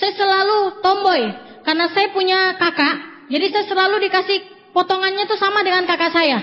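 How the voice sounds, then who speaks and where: Over noticeable background noise, the voice keeps a fairly quick pace. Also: woman. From Indonesia, Papua (Jayapura). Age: 20s. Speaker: motivational speaker at network marketing seminar. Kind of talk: motivational seminar speech. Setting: stage with audience.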